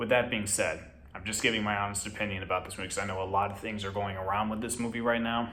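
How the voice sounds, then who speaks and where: A man's fairly low voice, bright and sharp in tone, with audible room echo. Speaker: movie reviewer. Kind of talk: casual review vlog. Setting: at home. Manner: quieter than usual, kept low.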